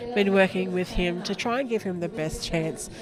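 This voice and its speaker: Music plays in the background. A woman speaks with an Australian accent. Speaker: sports commentator and coach. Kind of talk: live commentary. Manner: whispering, soft.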